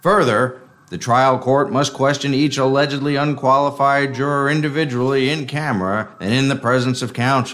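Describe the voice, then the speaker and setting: A man's unremarkable speaking voice, fairly high in pitch, moderate in pace, with ordinary pitch variation. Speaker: noir narrator and detective character. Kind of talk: noir parody narration, dramatized. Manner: wry, gravelly film-noir delivery.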